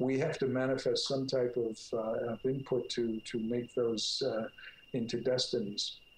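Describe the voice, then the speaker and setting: A man with an American accent speaks at medium pitch, somewhat breathy, monotone and flat, at a fairly slow pace. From US Northeast, North Jersey. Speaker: clinical psychologist, author. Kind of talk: interview. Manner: halting.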